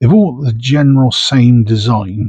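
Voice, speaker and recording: Somewhat breathy and delivered at a moderate pace, the voice carries a Bristol accent in a dry, close recording with no echo. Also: man. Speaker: coin collector. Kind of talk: casual unboxing commentary. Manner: casual, chatty.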